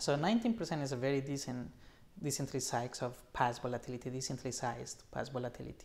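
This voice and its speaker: A man speaks at a very fast pace with vocal fry and ordinary pitch variation. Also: medium pitch for a man. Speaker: options trading educator. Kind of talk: live webinar presentation. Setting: live video stream.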